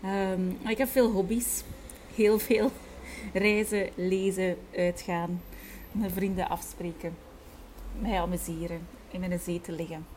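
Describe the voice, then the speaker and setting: A woman speaks at medium pitch with fairly even intonation. Her pace is very slow, broken by long, frequent pauses. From Flanders, Belgium (Kortrijk, West Flanders). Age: 30s. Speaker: tour guide and entrepreneur. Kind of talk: casual interview conversation. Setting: at home with window open.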